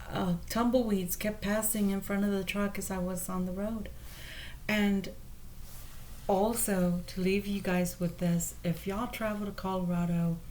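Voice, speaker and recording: Quiet woman's voice, fairly slow, fairly even in intonation, with audible room echo. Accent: American. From Texas, San Antonio. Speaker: tarot reader. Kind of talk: tarot reading monologue. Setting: motel room. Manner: quiet, speaking low.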